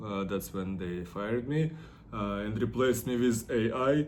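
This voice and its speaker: With audible room echo around him, a man of medium pitch speaks at a fairly slow pace. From Russia, Ufa (Bashkortostan). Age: 30s. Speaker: artist and model. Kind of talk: personal vlog monologue. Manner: halting, many fillers.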